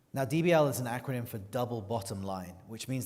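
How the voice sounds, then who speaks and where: At a fairly quick pace, a man talks in a British accent, with audible room echo. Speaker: journalist. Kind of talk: moderated interview introduction. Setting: stage with audience.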